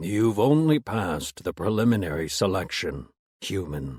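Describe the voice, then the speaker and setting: A put-on character voice, a man at a fairly low pitch and moderate pace. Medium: read story. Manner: cold, harsh, detached.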